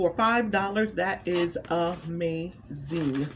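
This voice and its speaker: Over light background noise, a woman speaks with lively intonation. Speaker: food reviewer vlogger. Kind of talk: casual vlog chat. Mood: pleased, enthusiastic. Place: home room. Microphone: phone near.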